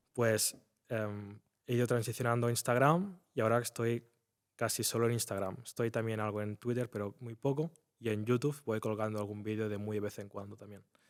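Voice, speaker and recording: A man with an ordinary speaking voice talks fairly quickly at medium pitch with fairly even intonation on a very clean recording with a silent background. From Spain, near Barcelona. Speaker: trader. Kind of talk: interview.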